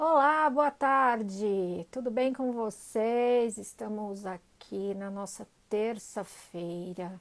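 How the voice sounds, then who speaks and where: A woman's fairly high voice rises and falls with lively intonation. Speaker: remote secretarial work trainer. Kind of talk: live stream chat. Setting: Instagram live stream.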